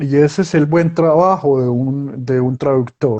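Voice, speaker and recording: A man's fairly high voice at a very slow pace. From Colombia. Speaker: writer and journalist. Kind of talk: interview. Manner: halting.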